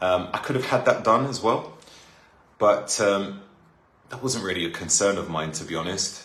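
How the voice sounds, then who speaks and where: With a London accent, a man speaks at a moderate pace in a fairly low pitch, his tone bright and sharp, with audible room echo. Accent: London accent, sounds clearly British. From North London, England. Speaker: live streamer. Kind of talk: casual chat. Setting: live stream.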